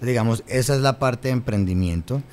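A man keeps a moderate pace and ordinary pitch variation while light background noise sits beneath his voice. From Colombia, Cali (Valle del Cauca); Colombia. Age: 30s. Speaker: government official; guest. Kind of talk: interview; interview answer. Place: studio. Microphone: studio mic.

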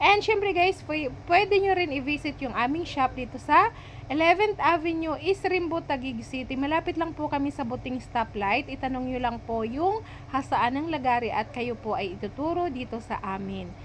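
A woman with a high pitch talks at a moderate pace, her voice making very wide pitch swings. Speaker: vlogger and hardware shop owner. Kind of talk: voice-over vlog narration. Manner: stumbling over words.

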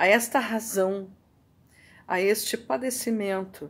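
A woman with a Brazilian accent talks at a medium pitch. Her pace is very slow. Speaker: video blogger reading poetry. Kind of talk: poetry reading, reflective and contemplative. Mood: calm, reflective. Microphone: webcam.

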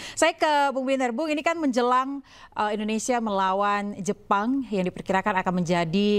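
With lively intonation, a woman talks at a very fast pace. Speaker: TV news anchor. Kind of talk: news interview. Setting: studio. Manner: formal. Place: studio.

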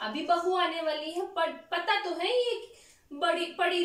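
In a room with audible echo, a woman speaks at an extremely high pitch. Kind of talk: scripted comedy skit scolding. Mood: irritated, scolding. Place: home room. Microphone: camera far.

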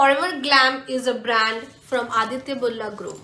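A woman projects a raised voice at a fairly slow pace with ordinary pitch variation, over light background noise and audible room echo. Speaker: lifestyle vlogger. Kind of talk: haul video chat. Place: home room.

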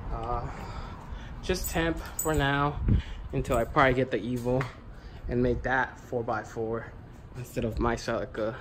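A fairly slow pace with long, frequent pauses and noticeable background noise. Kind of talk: casual vlog chat. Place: garage. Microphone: phone near.

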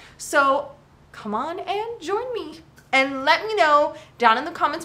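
A woman's raised, projected voice has a bright, sharp tone. Her pitch swings very widely. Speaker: fitness vlogger. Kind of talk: casual vlog chat. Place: garage. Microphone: phone near.

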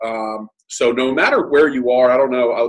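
A man talks in a monotone, flat intonation. The background is quiet. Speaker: guest. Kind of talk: motivational talk. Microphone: video call.

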